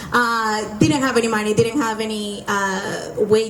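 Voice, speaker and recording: A woman with a Spanish accent speaks at a fairly slow pace, medium in pitch, her intonation fairly even. Room echo is audible, along with noticeable background noise. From Venezuela. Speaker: entrepreneur. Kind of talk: testimony.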